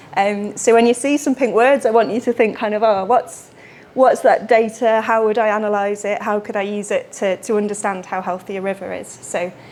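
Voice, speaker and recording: Intonation stays fairly even in a British accent. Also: woman. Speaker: water research engineer. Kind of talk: lecture. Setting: lecture room with audience. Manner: fast.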